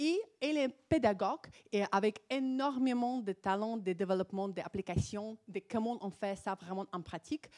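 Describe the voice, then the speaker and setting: Speaking in a non-native accent, a woman with a fairly high pitch takes a fairly slow pace in an animated tone, the sound dry and close with no echo. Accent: foreign accent in French. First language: not French (speaking French). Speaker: psychologist. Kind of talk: conference talk. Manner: halting.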